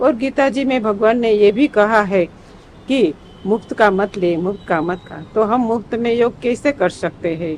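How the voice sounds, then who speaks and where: A woman has an unremarkable speaking voice, pitched fairly high with ordinary pitch variation. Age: 60s. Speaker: yoga student. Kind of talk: testimony.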